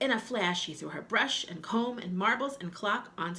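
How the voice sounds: Lively intonation in a natural reading voice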